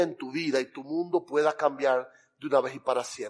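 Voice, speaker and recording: A man with a Cuban accent speaks at a fairly slow pace. His tone is animated. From Cuba, Camagüey. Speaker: pastor. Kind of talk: sermon. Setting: church.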